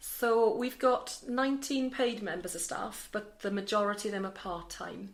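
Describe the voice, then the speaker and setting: A woman speaks in a Welsh accent, fairly high in pitch with ordinary variation. She talks with hardly any pauses. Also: moderate pace. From Wales. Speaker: charity centre manager. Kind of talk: interview.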